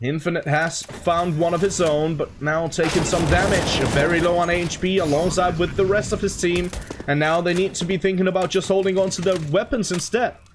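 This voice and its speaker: With hardly any pauses, the speech moves at a fairly quick pace against noticeable background noise. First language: not English. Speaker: esports commentator. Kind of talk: live commentary. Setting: home room with window open. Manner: animated.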